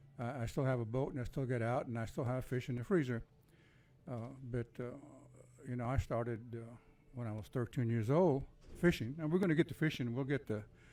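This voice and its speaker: Speaking with a Texan accent, a man with a medium-pitched voice and a dark, mellow tone moves at a fairly quick pace with ordinary pitch variation, though he leaves long, frequent pauses. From Texas, Corpus Christi. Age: 70s. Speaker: army veteran. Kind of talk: casual interview chat. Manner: halting, many fillers.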